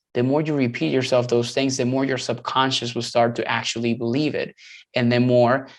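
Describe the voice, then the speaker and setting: The background is quiet. The intonation stays monotone and flat. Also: man. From Latin America. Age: 30s. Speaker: dietitian and nutrition coach. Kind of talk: podcast discussion. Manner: halting with many fillers and repetitions; casual.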